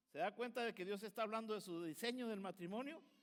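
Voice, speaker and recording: Here a man speaks with lively intonation. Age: 60s. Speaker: pastor. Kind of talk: sermon.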